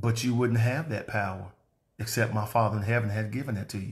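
A man puts on a strained character voice at a medium pitch. He speaks at a very fast pace. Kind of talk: sermon. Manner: restrained, calm. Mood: earnest, calm.

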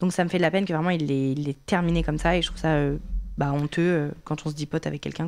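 A woman talks at a very fast pace with a very deep, low pitch. Her intonation is monotone and flat. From France. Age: 20s. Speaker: content creator. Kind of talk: interview. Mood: earnest, somewhat emotional. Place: studio. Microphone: studio mic.

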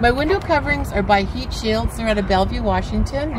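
A woman speaks with noticeable background noise behind her. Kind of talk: casual vlog tour. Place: waterside. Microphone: camera far.

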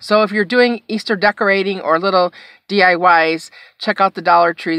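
In an ordinary speaking voice, a woman talks at a moderate pace with fairly even intonation, the sound dry with no echo against a quiet background. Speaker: haul vlogger. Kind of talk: casual vlog chat. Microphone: phone near.

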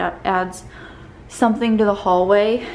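A woman talks at a fairly slow pace. Light background noise sits behind her. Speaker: home vlogger. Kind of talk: casual vlog chat. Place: home room. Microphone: phone near.

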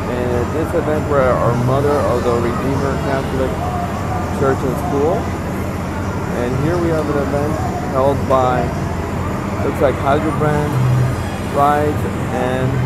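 Against loud background noise, a man talks at a fairly slow pace with ordinary pitch variation and long, frequent pauses, in a dry sound with no echo. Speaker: carnival enthusiast vlogger. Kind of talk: walking tour commentary. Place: market. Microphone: phone near.

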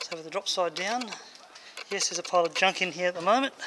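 Fairly quick speech over noticeable background noise. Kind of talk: casual workshop vlog commentary. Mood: pleased, relaxed. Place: workshop. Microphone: phone near.

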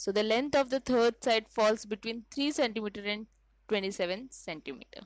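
Her pitch is fairly high for a woman, with ordinary variation throughout. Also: moderate pace, dry, close sound with no echo. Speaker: maths teacher. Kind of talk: tutorial.

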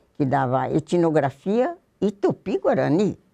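Over a quiet background, a woman speaks in a very deep, low pitch with a dark, mellow tone. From Brazil, São Paulo state (Jundiaí); São Paulo state, Brazil. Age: old. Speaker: retired former student sharing memories. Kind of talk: oral history interview. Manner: halting, with repetitions. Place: studio. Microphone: lapel.

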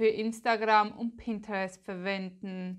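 Against a quiet background, a woman with a Swiss German accent talks very slowly at a fairly high pitch, her intonation fairly even. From Switzerland. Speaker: Pinterest marketing expert, content creator; content creator. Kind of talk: tutorial. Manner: casual, chatty.

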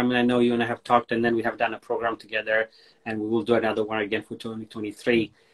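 Over a quiet background, the speech rushes along at a very fast pace in a flat, monotone delivery. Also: man. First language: Amharic. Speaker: online show host. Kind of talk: casual chat. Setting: Instagram live video call. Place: home room.

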